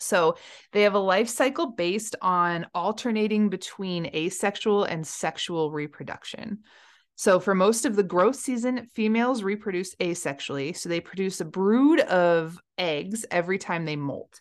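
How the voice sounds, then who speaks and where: Against a quiet background, a woman speaks in an ordinary speaking voice at a medium pitch and moderate pace, her intonation lively. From Colorado. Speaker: podcast host, diver and science communicator. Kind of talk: casual educational chat.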